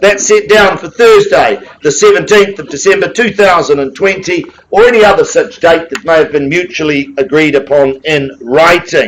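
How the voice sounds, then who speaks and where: Loud and high-pitched, a man with a New Zealand accent talks at a moderate pace with ordinary pitch variation and hardly any pauses. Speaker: auctioneer. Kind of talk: live auction calling. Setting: auction room with audience.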